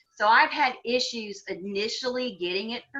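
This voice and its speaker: A woman's fairly high, bright, sharp voice in an animated tone. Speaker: vision rehabilitation worker. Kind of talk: webinar presentation. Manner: fast.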